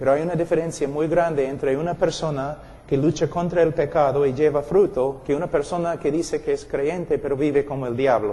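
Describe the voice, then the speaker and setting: A man with an English accent, fairly high in pitch, fairly quick and hardly pausing, with fairly even intonation. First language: English (speaking Spanish). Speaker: preacher. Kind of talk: sermon. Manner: intense.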